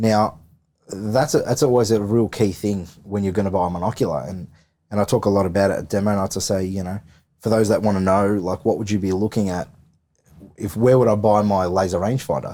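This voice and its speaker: With an Australian accent, the speaker has a dark, mellow tone and ordinary pitch variation. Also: man, fairly low pitch for a man. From Victoria, Australia. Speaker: firearms and thermal optics salesman. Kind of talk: podcast interview. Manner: halting, many repeated words.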